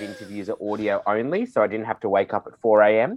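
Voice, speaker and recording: A man at a fairly low pitch with an Australian accent, ordinary pitch variation and a fairly quick pace. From Sydney, Australia. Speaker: drag performer and entertainment manager. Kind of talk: interview. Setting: remote audio call.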